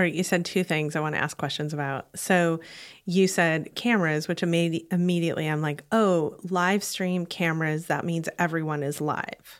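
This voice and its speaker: Over a silent background on a very clean recording, a woman talks in an ordinary speaking voice with fairly even intonation. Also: fairly low pitch for a woman, moderate pace. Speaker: podcast host. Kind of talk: casual chat.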